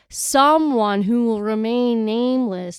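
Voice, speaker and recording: A woman speaks with a Wisconsin accent at a fairly high pitch. Her pace is very slow. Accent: regional Wisconsin accent, 'wooder' for water. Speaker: podcast co-host. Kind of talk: casual chat. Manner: animated.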